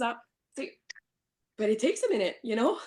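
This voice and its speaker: A woman with an Acadian accent. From New Brunswick, Canada. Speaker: real estate broker. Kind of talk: podcast interview answer. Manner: casual, code-switching with English.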